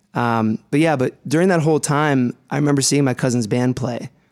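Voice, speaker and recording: A man with an American accent speaks in a normal speaking voice at a medium pitch, with ordinary pitch variation. The sound is dry and close with no echo, and the recording is very clean with a silent background. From US Midwest, Ohio (Youngstown area). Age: 30s. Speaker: singer-songwriter. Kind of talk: interview. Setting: radio studio.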